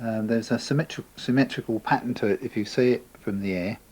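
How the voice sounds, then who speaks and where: With an Essex accent, a man speaks at a moderate pace. His pitch is medium, with ordinary variation. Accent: southern English, Essex. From England, Essex (Chelmsford). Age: 50s. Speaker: local resident sharing memories. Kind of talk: oral history interview. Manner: relaxed, conversational with fillers.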